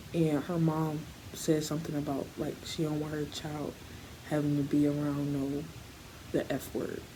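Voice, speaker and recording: A quiet woman talks at a moderate pace in a flat monotone, with long, frequent pauses and audible room echo. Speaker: vlogger. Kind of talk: story time. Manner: quiet, low; halting.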